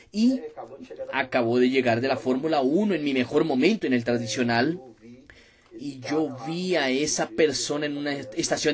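A man with a fairly high voice speaks at a moderate pace, his pitch moving in an ordinary way. His tone is animated, and background noise is noticeable. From Brazil, Minas Gerais. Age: 20s. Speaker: network marketing distributor. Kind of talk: motivational testimony.

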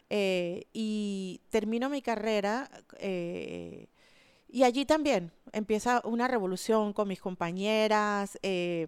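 An ordinary speaking voice from a woman at a fairly high pitch, on a very clean recording with a silent background. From Panama, Panama City. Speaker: architect and environmental activist. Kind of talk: interview. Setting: studio.

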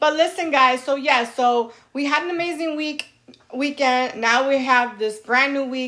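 With an American accent, a woman speaks in a bright, sharp tone that sounds animated. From New York. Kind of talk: casual chat.

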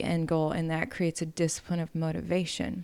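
An ordinary speaking voice with an American accent at a fairly quick pace, in a very clean recording with a silent background. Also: woman. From Wisconsin, US Upper Midwest. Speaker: news reporter and singer. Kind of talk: casual interview.

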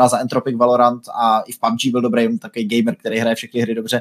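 In a dry, close sound with no echo, a man talks at a fairly quick pace and medium pitch in an ordinary speaking voice. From Czechia, Brno. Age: 20s. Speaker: gaming streamer. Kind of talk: casual interview.

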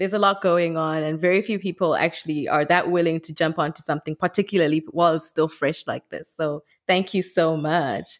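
A woman with a Zimbabwean accent talks at a fairly quick pace with hardly any pauses, in a fairly low pitch. The recording is very clean, with a silent background. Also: fairly even intonation, dry, close sound with no echo. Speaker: podcast host. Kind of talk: interview.

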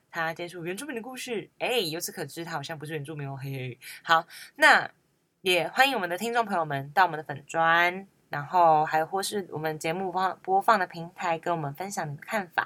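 With a bright, sharp tone and fairly low pitch, a woman speaks at a fairly quick pace with ordinary pitch variation and big swings in loudness, in a very clean recording with a silent background. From Hualien, Taiwan (Amis). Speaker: student radio host. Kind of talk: casual chat; public service announcement.

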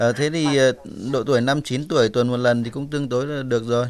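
At a very fast pace, a man with a medium pitch speaks in fairly even intonation. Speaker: doctor. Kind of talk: radio advice call-in. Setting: studio.

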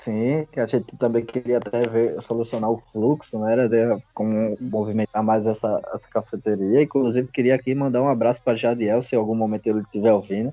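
A man talks at a fairly quick pace and medium pitch, in an unremarkable speaking voice. His intonation stays fairly even. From Pernambuco, Brazil. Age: 20s. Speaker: graphic designer. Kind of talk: casual chat.

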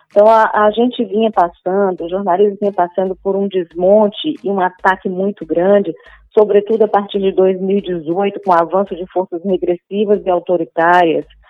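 The woman's pitch is medium and her intonation fairly even. She keeps a moderate pace. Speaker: journalist and TV presenter. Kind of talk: interview. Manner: hesitant, many fillers.

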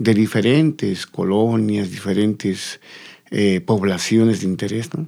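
A man's dark, mellow voice, fairly low in pitch, with ordinary pitch variation and a very slow pace. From Bolivia, La Paz. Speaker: folk culture teacher. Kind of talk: interview. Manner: halting, repeating words.

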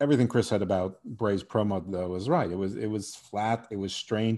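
In a dark, mellow tone, a man speaks at a fairly quick pace with a quiet background. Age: 50s. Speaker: podcast host. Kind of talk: casual chat.

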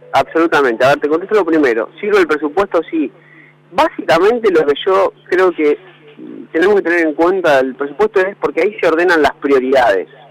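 A man speaks with a high pitch and very even loudness. The sound is dry and close with no echo, over noticeable background noise. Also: ordinary pitch variation, fairly quick pace. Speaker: economist. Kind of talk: interview.

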